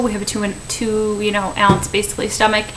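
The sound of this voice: A woman talks at a medium pitch. Background noise is clearly audible.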